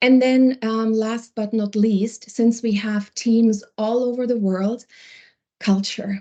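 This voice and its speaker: With a non-native accent, a woman speaks at a very slow pace in a dark, mellow tone and monotone, flat intonation. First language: not English. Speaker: wellbeing program lead. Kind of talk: webinar panel discussion. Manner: halting, searching for words.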